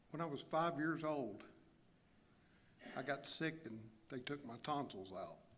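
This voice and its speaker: A man with an American accent speaks at a fairly high pitch with vocal fry and ordinary pitch variation. His pace is fairly slow with long, frequent pauses, and there is audible room echo. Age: 60s. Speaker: church member giving testimony. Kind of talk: testimony. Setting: church. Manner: halting pauses.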